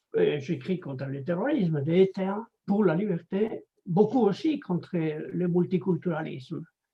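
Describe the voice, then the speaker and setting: With a Spanish accent, a man speaks at a high pitch and fairly slow pace, his intonation lively and hardly any pauses. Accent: Spanish, out of practice in French. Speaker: anthropologist and writer. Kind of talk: interview. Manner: halting.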